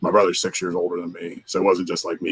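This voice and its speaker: A man with an American accent talks very fast. The sound is dry and close, with no echo. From Pittsburgh, Pennsylvania. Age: 40s. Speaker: paranormal investigator. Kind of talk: interview.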